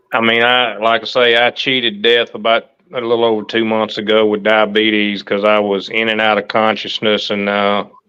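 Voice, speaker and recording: In a Southern US accent, a man speaks at a moderate pace and fairly low pitch, with monotone, flat intonation and very even loudness. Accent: US South. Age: 60s. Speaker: livestream host. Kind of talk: casual chat.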